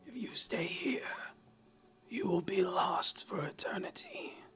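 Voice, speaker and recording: In a put-on character voice, someone whispers at a fairly slow pace, the sound raspy, breathy and strained. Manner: ominous, warning.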